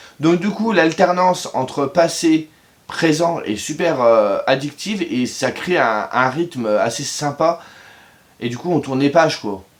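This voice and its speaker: A man speaks fairly slowly in a fairly high voice. His intonation is lively. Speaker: book reviewer youtuber. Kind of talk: casual video review. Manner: hesitant with fillers.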